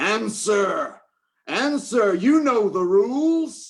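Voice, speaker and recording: A put-on character voice shouts at a very slow pace. The pitch is fairly high. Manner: shouting, angry.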